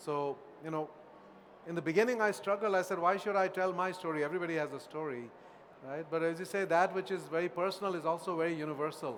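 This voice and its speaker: Here a man talks at a very fast pace. His pitch is high. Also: ordinary pitch variation. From India. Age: 60s. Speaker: author and professor. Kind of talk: Q&A at book talk. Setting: auditorium with audience.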